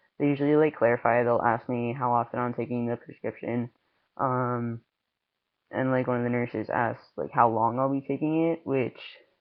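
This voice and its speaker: A man speaks at a moderate pace, his pitch medium and his intonation fairly even. He takes long, frequent pauses. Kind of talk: casual talk to camera. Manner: hesitant, many filler words.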